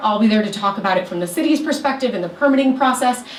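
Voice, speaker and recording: Against noticeable background noise and audible room echo, a woman speaks with fairly high pitch. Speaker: city sustainability official giving a talk. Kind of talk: presentation to a community meeting. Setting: meeting room with audience. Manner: fast.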